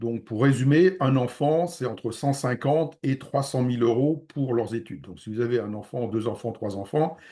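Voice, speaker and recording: A man at medium pitch with a dark, mellow tone, moderate pace, ordinary pitch variation and hardly any pauses. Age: 60s. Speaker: real estate investment advisor. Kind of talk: webinar presentation. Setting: online video conference. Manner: hesitant with frequent fillers.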